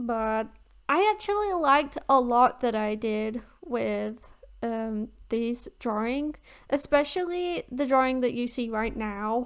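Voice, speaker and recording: With a high pitch, a woman talks at a very slow pace. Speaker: art youtuber. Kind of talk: voiceover commentary over speedpaint. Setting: recording at home. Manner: casual, hesitant with fillers.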